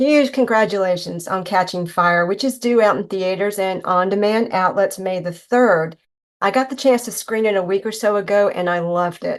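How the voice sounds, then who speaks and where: With a Southern US accent, a woman talks at a moderate pace and medium pitch, her pitch varying in an ordinary way. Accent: Southern US accent, noticeable. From North Carolina. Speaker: podcast host, interviewer. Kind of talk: interview; scripted intro reading.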